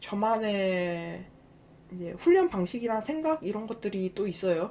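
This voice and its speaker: The tone here is dark and mellow. It belongs to a woman. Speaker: game youtuber. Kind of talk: casual monologue to viewers. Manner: hesitant, many fillers.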